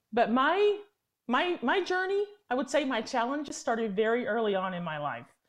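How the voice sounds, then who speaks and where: With an American accent, a woman talks fairly quickly at a high pitch with very wide pitch swings against a quiet background. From Tennessee, US. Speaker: lobbyist. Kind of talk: interview. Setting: remote call from D.C.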